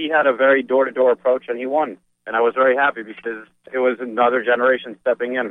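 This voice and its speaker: With an American accent, a man talks in a normal speaking voice at medium pitch and a moderate pace, his intonation fairly even. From New Jersey, Edison. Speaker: city council candidate. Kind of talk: radio interview.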